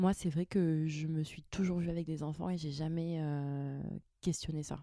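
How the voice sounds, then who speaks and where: The voice is dark and mellow in tone, monotone and flat at a moderate pace, in dry, close sound with no echo. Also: woman. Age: 30s. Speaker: mother of two. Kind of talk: casual chat. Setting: chalet bedroom recording.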